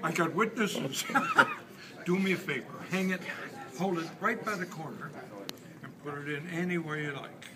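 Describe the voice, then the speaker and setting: With long, frequent pauses, a man speaks at a moderate pace over noticeable background noise. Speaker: magician. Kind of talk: magic trick patter to volunteer. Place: hall.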